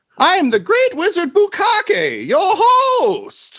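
A man performs a put-on character voice at an extremely high pitch with very wide pitch swings. The tone is bright and sharp, and the pace is slow.

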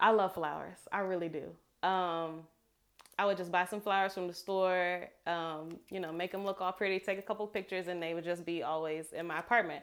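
A woman speaks fairly quickly at a fairly low pitch in a monotone, flat way. The recording is very clean, with a silent background. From New Orleans, Louisiana. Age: 20s.

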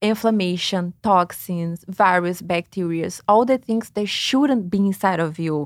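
A woman with a Brazilian accent at a fairly slow pace and with ordinary pitch variation, in a dry, close sound with no echo on a very clean recording with a silent background. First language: Portuguese. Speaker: lymphatic massage therapist. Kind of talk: interview, explaining.

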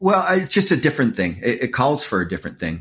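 Recorded very cleanly against a silent background, a man with an American accent speaks in a bright, sharp tone. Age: 50s. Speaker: rock guitarist. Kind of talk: interview. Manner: halting.

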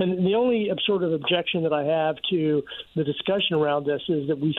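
A man speaks at a moderate pace with an American accent. His is a plain, everyday voice, pitched fairly high. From Virginia. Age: 60s. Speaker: economics professor. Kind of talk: radio interview.

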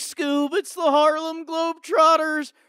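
Delivered at a fairly slow pace, the put-on character voice is high-pitched with monotone, flat intonation. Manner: cartoon dog voice.

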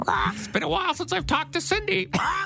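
A man in a put-on character voice, very fast, against clear background noise. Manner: comedic, squawking.

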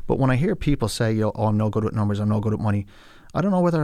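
A man with an Irish accent speaks at a medium pitch on a very clean recording with a silent background. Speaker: financial advisor. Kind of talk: casual interview.

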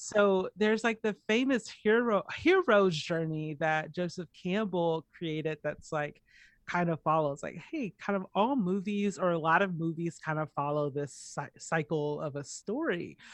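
With an American accent and a normal speaking voice, a woman speaks at a fairly slow pace in a fairly low pitch, with ordinary pitch variation and hardly any pauses. The background is quiet and the sound is dry and close, with no echo. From US South, Atlanta, Georgia. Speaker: poet and visual artist. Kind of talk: casual interview.

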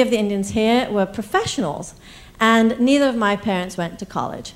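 With an ordinary speaking voice, a woman talks at a fairly high pitch and a fairly quick pace with ordinary pitch variation. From East Africa, raised in England then US. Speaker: storyteller. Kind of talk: live storytelling. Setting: stage with audience.

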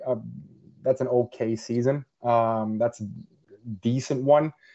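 A man with a Norwegian accent at a fairly slow pace. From Norway. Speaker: football journalist. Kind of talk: podcast interview. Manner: halting, many repetitions and fillers.

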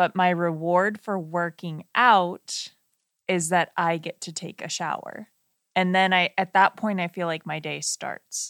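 In a very clean recording with a silent background, a woman speaks in a plain, everyday voice with fairly even intonation, the sound dry and close with no echo. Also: fairly low pitch for a woman, fairly slow pace. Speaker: wedding filmmaker and podcast co-host. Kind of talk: casual podcast chat. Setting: studio, sharing one microphone.

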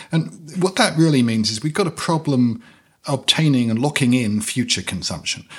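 A man with a British accent speaks at a moderate pace. His medium-pitched voice has lively intonation. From Britain. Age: 50s. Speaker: podcast host, finance. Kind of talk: interview.

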